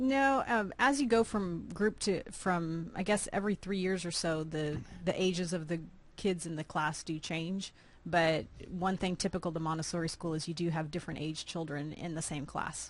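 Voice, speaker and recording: In an unremarkable speaking voice, a woman talks at a moderate pace with a fairly low pitch and ordinary pitch variation. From Austin, Texas. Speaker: nonprofit founder. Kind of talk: interview.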